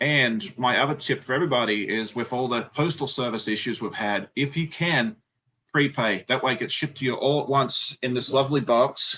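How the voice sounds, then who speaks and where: Against a quiet background, a man with an Australian accent talks at a fairly quick pace, his medium-pitched voice bright and sharp in tone with ordinary pitch variation. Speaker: sewing YouTuber. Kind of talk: live stream chat.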